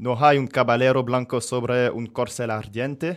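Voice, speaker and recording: A man speaks at a fairly slow pace in an ordinary speaking voice of medium pitch, on a very clean recording with a silent background. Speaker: radio host. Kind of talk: casual chat.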